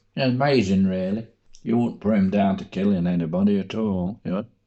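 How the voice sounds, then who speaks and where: A man with an East Midlands accent and ordinary pitch variation. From Coalville, Leicestershire, England. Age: 80s+. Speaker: war veteran. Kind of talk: interview answer.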